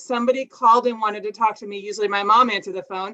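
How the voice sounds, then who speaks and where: A woman's fairly high, bright and sharp voice with an American accent, very fast and fairly even in intonation. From Minnesota. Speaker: family service counselor. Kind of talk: presentation with slides.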